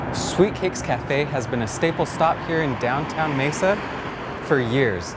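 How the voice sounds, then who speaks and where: Amid noticeable background noise, a man with an American accent and a fairly high pitch talks at a fairly slow pace with lively intonation. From Arizona. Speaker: journalist. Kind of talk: TV news report.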